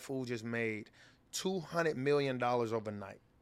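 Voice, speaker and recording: The man's tone is animated, with ordinary pitch variation. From Chicago, south side. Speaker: podcast co-host. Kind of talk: casual chat.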